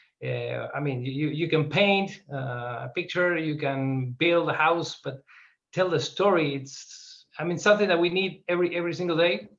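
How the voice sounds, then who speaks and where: Speaking at a moderate pace, a man shows ordinary pitch variation and an Argentine accent. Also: fairly high pitch for a man. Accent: Argentinian. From Argentina. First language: Spanish. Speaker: filmmaker. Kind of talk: interview. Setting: video call. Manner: halting.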